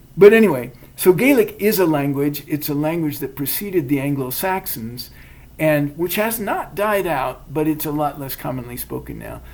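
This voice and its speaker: The speaker has an American accent. The pace is moderate. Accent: academic-sounding American. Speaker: podcast co-host. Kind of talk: casual chat. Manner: hesitant, many fillers.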